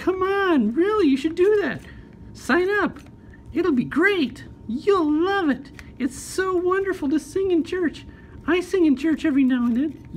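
A female-sounding cartoonish character voice at an extremely high pitch. It moves at a moderate pace over clear background noise. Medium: puppet show. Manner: enthusiastic, persuasive, warm.

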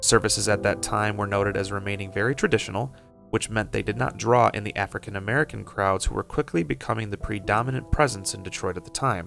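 A man talks at a very fast pace in a fairly low register, with ordinary pitch variation. The sound is dry with no echo, with music in the background. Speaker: documentary narrator. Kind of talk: documentary narration.

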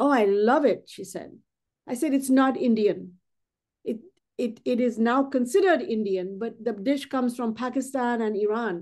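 Her voice sits high for a woman. The pitch moves in an ordinary way. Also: moderate pace. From India. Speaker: artist. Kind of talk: interview.

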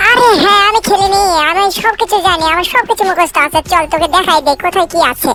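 A put-on character voice moves at a fairly quick pace over clear background noise. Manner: boastful, comic.

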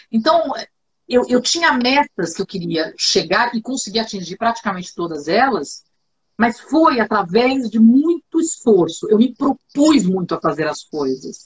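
A woman talks fairly slowly in a somewhat breathy voice. Her pitch swings very widely. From Brazil. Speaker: TV journalist and communication trainer; TV journalist, communication trainer. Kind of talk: interview, casual chat. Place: home room.

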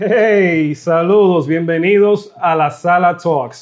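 A man talks with normal rise and fall in pitch over a quiet background. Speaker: podcast host. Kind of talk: talk show host. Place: studio. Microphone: lapel.

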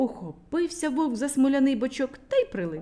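With a dark, mellow tone, a woman speaks at a high pitch that makes big pitch swings. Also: fairly quick pace.

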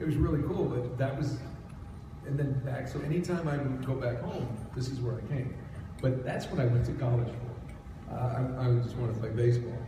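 A man talks at a fairly quick pace with fairly even intonation. Audible room echo and noticeable background noise surround his voice. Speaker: guest. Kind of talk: interview answer. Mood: relaxed, joking. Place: hall.

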